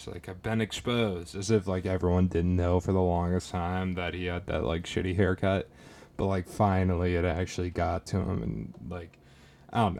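With an American accent, a man talks in a very deep, low voice with fairly even intonation. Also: moderate pace. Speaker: podcast host. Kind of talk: casual monologue. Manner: flat, little emotion.

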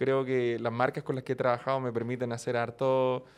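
Speaking at a medium pitch, a man talks at a fairly quick pace. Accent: Chilean. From Chile. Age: 20s. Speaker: YouTuber and streamer. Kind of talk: casual chat.

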